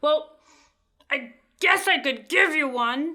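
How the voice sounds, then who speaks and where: Putting on a gruff character voice, a woman speaks at a high pitch and a fairly slow pace with ordinary pitch variation. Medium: read story. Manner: gruff, irritable.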